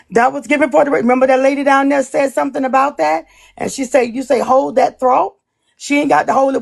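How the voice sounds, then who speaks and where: Her pitch high and her pace very fast, a woman talks with ordinary pitch variation. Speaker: live stream panelist. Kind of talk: heated live stream argument.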